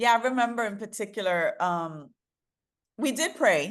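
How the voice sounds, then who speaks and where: Against a quiet background, a woman with a New York accent talks in an animated tone with lively intonation. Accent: New York American. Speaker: DEI consultant and author. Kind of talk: interview.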